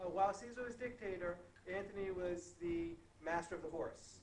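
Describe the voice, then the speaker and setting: A man with a high voice speaks at a moderate pace, his intonation fairly even, over noticeable background noise. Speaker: Latin teacher. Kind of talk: online class translation lesson. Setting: online lesson recording, low volume.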